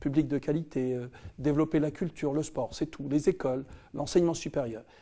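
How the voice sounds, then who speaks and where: A man's fairly high, dark and mellow voice at a fairly quick pace, with fairly even intonation. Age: 60s. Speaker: politician. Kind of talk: campaign video address. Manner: halting, many hesitations.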